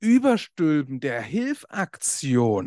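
A man speaks at a very slow pace with lively intonation, the sound dry and close with no echo and the background quiet. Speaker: podcast host and coach. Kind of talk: casual monologue.

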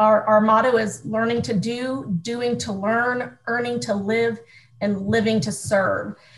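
A woman with an American accent speaks fairly slowly in a fairly high pitch with ordinary pitch variation, with audible room echo. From US Midwest, small-town Ohio. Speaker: youth organization staff leader. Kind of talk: interview.

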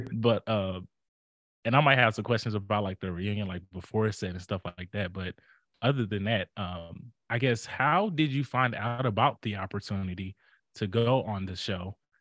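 On a dry, close recording with no echo and a quiet background, a man with an ordinary speaking voice talks at a moderate pace, with a fairly low pitch and ordinary pitch variation. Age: 30s. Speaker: podcast host. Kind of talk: casual chat.

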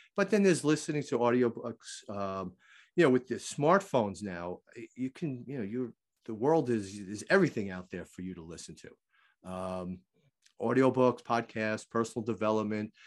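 In an unremarkable speaking voice, a man talks at a medium pitch and a moderate pace with lively intonation and big swings in loudness. The background is quiet. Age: 50s. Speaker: walking fitness author and teacher. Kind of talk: casual interview chat.

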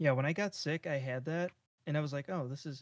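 A man with an American accent and an ordinary speaking voice, fairly high in pitch, with ordinary pitch variation at a fairly quick pace. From Japan. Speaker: podcast co-host. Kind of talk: casual chat.

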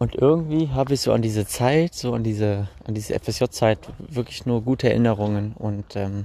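This man's voice is fairly low in pitch with ordinary variation. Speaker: podcaster. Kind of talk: personal storytelling monologue. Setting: outdoors, recorded while walking. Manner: halting, many fillers.

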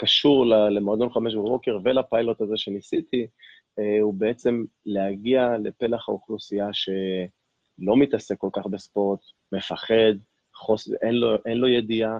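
At a fairly slow pace, a man with an unremarkable speaking voice talks at medium pitch with fairly even intonation. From Israel, Ashkelon. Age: 40s. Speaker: fitness coach and life coach. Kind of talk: interview conversation.

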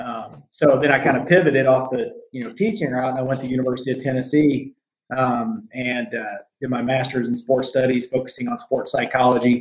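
Speaking at a fairly quick pace in an American accent, a man with an unremarkable speaking voice keeps to medium pitch and fairly even intonation. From US Midwest/South (Southern Indiana, Arkansas). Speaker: mindfulness and performance coach, military veteran. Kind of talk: casual interview chat.

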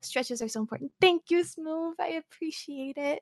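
A woman speaks with a high pitch and lively intonation. The sound is dry and close, with no echo. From US, moved around (Virginia, Nevada, California). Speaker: streamer. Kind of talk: casual chat. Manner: soft-spoken.

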